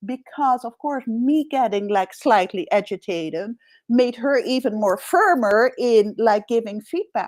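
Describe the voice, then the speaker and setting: The delivery is fairly slow, with lively intonation and a Dutch accent. The sound is dry and close, with no echo. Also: woman, very clean recording, silent background. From Netherlands. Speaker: executive coach. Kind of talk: interview conversation.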